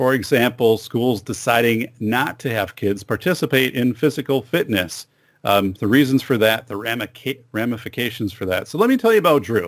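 A man talks at a moderate pace with ordinary pitch variation over a quiet background. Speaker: podcast host. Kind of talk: podcast intro monologue. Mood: upbeat, friendly. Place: studio. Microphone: studio mic.

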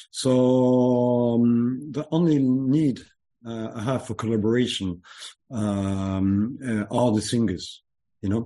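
In a French accent, a man of medium pitch speaks in a dark, mellow tone at a very slow pace, with ordinary pitch variation and a quiet background. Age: 40s. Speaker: music producer. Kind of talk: interview. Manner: halting.

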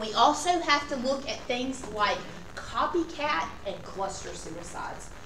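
A woman speaks at a high pitch and a fairly slow pace. Audible room echo and light background noise accompany her. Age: 40s. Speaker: lecturer. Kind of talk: lecture. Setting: classroom. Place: classroom. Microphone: camera far.

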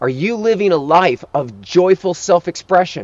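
The recording is dry with no echo, and a man talks at a high pitch. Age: 50s. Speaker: life coach. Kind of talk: motivational talk; sales pitch. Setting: outdoors. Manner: urgent. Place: open country.

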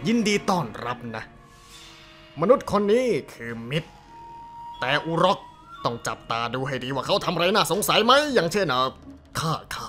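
Putting on a character voice, a man speaks at a high pitch with clear music in the background. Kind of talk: fan dub of game cutscene. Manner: rambling, excitable.

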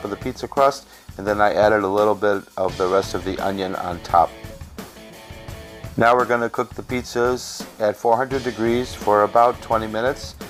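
A man speaks at a fairly low pitch with fairly even intonation. Music plays in the background. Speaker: home cook. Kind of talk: cooking tutorial narration. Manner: fast.

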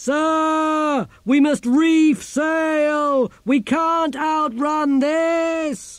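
A man does a put-on character voice at an extremely high pitch, raised and projected. He speaks at a very slow pace.

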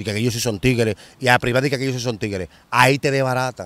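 A man speaks in a dry sound with no echo. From Dominican Republic, Santo Domingo; Dominican Republic. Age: 40s. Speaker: former street criminal; interviewee. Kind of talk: interview, street life testimony. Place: open country. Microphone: handheld.

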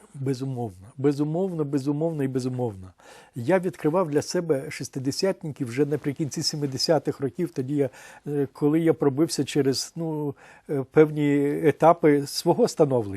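A man with a dark, mellow tone and fairly high pitch talks at a moderate pace with ordinary pitch variation, recorded very cleanly against a silent background with a dry, close sound and no echo. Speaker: publisher and editor. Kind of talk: interview. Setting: TV studio.

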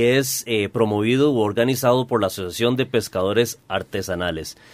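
This man has an ordinary speaking voice. His pitch sits at a medium level. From Costa Rica. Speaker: radio host. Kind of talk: radio talk show. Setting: radio studio. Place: studio.

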